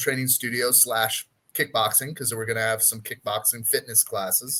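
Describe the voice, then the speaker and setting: A man with a bright, sharp tone comes through on a very clean recording with a silent background. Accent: American. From United States. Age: 50s. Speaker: personal trainer. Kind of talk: casual chat.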